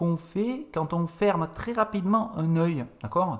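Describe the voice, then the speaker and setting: A man with a high pitch speaks at a very slow pace. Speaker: French teacher. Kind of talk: podcast conversation.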